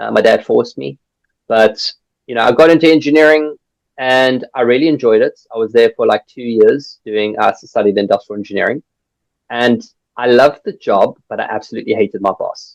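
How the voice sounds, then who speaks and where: With a strong South African accent, a man talks at a fairly quick pace in a dry, close sound with no echo. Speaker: recruitment business founder. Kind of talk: podcast interview. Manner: animated.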